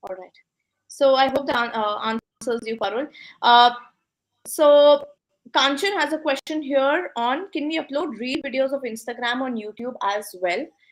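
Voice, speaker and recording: A woman's high-pitched voice in an Indian accent, with lively intonation at a fairly slow pace. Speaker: business coach and host. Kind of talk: live interview Q&A. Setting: online live session.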